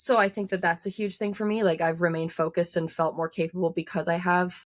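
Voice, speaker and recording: Speaking at a very fast pace, a woman keeps a fairly low pitch. Her intonation stays fairly even. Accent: strong Newfoundland. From Newfoundland, Canada. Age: 20s. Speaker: singer-songwriter. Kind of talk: interview. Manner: casual, many filler words.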